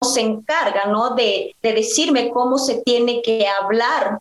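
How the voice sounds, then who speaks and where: Speaking at a very slow pace, a woman uses fairly even intonation in a fairly high-pitched voice. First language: Mixe (speaking Spanish). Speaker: singer. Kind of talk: conversational interview. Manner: halting, many fillers.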